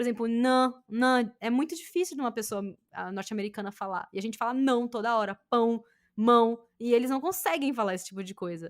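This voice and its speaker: On a very clean recording with a silent background, a woman with a Brazilian accent talks at a fairly quick pace, her fairly high pitch carrying lively intonation. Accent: Brazilian accent in English, reduced. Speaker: podcast host. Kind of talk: casual chat.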